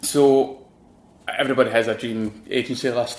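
This man talks in a Glaswegian accent with a monotone, flat intonation. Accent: Glaswegian Scottish. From Glasgow, Scotland. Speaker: designer. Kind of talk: casual interview chat. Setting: studio.

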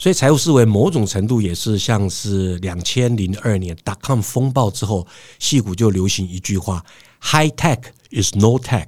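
A man speaks fairly slowly at a fairly low pitch with ordinary pitch variation, in an unremarkable speaking voice. The recording is very clean, with a silent background. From Taiwan, Hsinchu. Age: 50s. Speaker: professional lecturer and serial entrepreneur. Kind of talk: interview.

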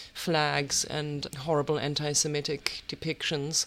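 A woman with a German accent and a very deep, low pitch. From Germany. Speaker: writer and artist. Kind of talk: interview.

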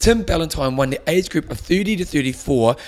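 Lively intonation marks this man's speech, delivered with a New Zealand accent. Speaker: triathlon podcast host. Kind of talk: casual chat. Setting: studio.

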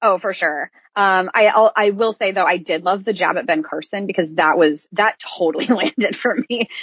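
A woman speaks in an unremarkable speaking voice with an American accent, medium in pitch. Her pace is moderate with hardly any pauses, and her pitch varies in an ordinary way. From Iowa, US Midwest. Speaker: theater performer, podcast co-host. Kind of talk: casual chat.

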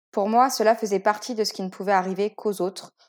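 Over a silent background in a very clean recording, a woman talks at a fairly quick pace in an unremarkable speaking voice with fairly high pitch. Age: 20s. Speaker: author sharing fertility story. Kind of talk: testimony. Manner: scripted, read-aloud narration.

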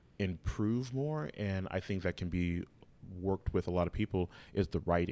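A man with an American accent, very deep and low in pitch, at a moderate pace, in a very clean recording with a silent background. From Los Angeles, US West Coast. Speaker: playwright and theatre artist. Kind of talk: casual chat.

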